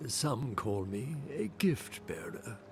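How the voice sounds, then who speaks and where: A man's put-on character voice with a calm tone and medium pitch, over clear background noise. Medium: video game. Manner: calm, measured, cryptic.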